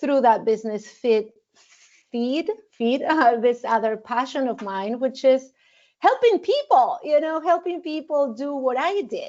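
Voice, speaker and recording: Spoken at a fairly slow pace with a Spanish accent, the delivery has lively intonation. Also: woman, high pitch for a woman. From Argentina. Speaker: wedding officiant and mindfulness teacher. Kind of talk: interview podcast. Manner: halting, many fillers and repetitions.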